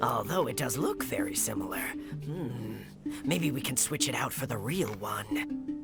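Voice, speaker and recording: Over loud background music, a put-on character voice at a low-to-middle pitch speaks at a moderate pace. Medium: game stream. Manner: lively, giggly.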